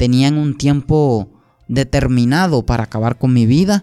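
An ordinary speaking voice, a man's fairly high pitch moves with ordinary pitch variation at a fairly slow pace. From Colombia, Sucre and Antioquia. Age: 20s. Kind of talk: testimony.

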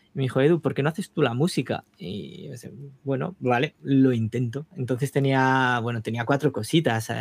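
In an unremarkable speaking voice, a man talks at a moderate pace with ordinary pitch variation, and the sound is dry and close with no echo. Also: medium pitch for a man. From Spain, Navarre (small town). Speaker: touring keyboardist and composer. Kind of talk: casual interview.

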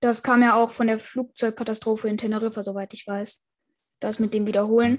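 In a very clean recording with a silent background, a woman speaks at a fairly high pitch with monotone, flat intonation and big swings in loudness. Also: fairly quick pace. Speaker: podcast host. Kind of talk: interview.

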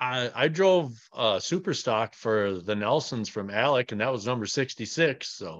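In an ordinary speaking voice, a man of medium pitch with a Canadian accent talks fairly slowly and with lively intonation, hardly pausing, against a quiet background. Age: 40s. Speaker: retired race car driver. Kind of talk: interview.

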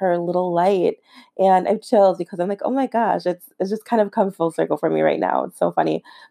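Someone speaks at a fairly quick pace on a very clean recording with a silent background and a dry, close sound with no echo. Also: woman. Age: 30s. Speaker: podcast host and business coach. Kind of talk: casual monologue. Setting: living room at home.

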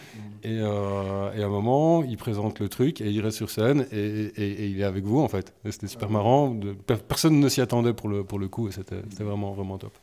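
A man with a fairly low pitch and a dark, mellow tone speaks at a moderate pace with ordinary pitch variation and hardly any pauses. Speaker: podcast co-host. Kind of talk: casual chat.

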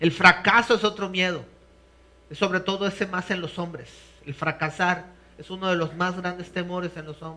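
This man's voice is high-pitched with a bright, sharp tone, fairly even intonation and a moderate pace. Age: 50s. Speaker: pastor. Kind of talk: sermon. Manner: halting.

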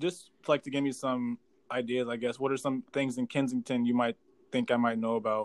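A man speaks at a fairly quick pace in an ordinary speaking voice, his medium pitch held to fairly even intonation, with a dry, close sound and no echo. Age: 20s. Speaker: podcast host. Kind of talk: casual interview. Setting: remote video call.

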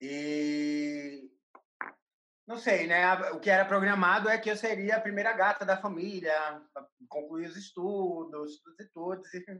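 At a very slow pace, a woman speaks at a medium pitch with ordinary pitch variation and big swings in loudness. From Brazil, Recife (Pernambuco). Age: 20s. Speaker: curator and artist. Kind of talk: interview.

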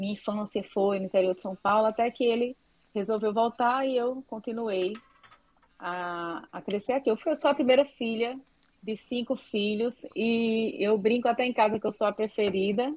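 Speaking at a moderate pace with ordinary pitch variation, a woman with a plain, everyday voice sits at a fairly high pitch. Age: 40s. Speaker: doctor specializing in breast health. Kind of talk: interview, casual chat. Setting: remote online call.

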